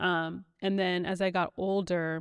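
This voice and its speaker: Here a woman talks at a medium pitch. Her background is quiet. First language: Spanish. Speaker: podcast guest. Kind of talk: casual chat.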